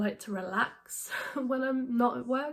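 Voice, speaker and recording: With a British accent, a woman speaks at a high pitch. Her pitch variation is ordinary. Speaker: book vlogger. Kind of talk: casual vlog talk. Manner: hesitant, many fillers.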